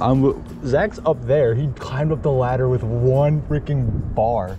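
There is music in the background. Over it, a man speaks at a fairly slow pace. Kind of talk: casual vlog chat. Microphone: phone near.

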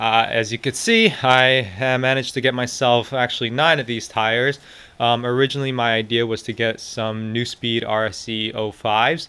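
Speaking at a moderate pace, a man keeps a monotone, flat intonation. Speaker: car owner vlogger. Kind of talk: casual vlog chat. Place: garage. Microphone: phone near.

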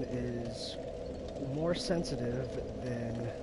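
Loud background noise runs beneath a dry sound that has no echo. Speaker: let's play gamer. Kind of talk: casual gameplay commentary.

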